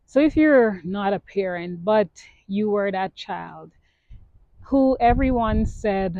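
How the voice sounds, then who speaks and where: A woman of medium pitch talks at a very slow pace, her pitch varying in an ordinary way. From Guyana. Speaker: podcast host. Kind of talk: personal reflective talk. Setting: outdoors in a park.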